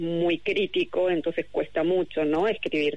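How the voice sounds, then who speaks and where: This woman speaks with a fairly low pitch. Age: 50s. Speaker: novelist. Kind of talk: interview. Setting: remote call.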